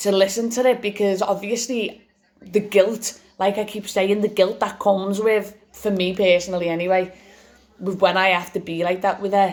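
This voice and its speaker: A woman speaks at a moderate pace in an English accent, her medium-pitched voice holding a monotone, flat intonation. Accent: English regional (British). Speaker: vlogger sharing cancer experience. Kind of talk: personal testimony vlog. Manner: loud; halting with repetitions.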